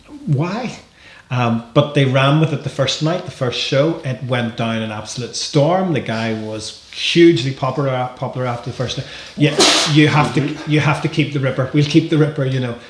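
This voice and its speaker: Against noticeable background noise, a man with a Northern Irish accent talks at a moderate pace in a fairly high pitch, with ordinary pitch variation. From Northern Ireland. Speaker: wrestling promoter. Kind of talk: podcast interview. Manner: hesitant, many repetitions.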